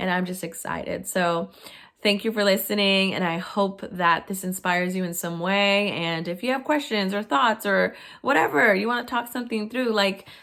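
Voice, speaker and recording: A woman speaks at a moderate pace with an American accent and a medium pitch with ordinary pitch variation. Her bright, sharp, animated tone comes on a very clean recording with a silent background. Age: 20s. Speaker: professor. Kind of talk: testimony.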